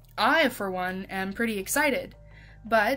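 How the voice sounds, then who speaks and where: Music plays in the background as a woman speaks with ordinary pitch variation. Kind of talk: casual commentary to camera. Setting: home recording, uneven stereo. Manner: occasional stuttering.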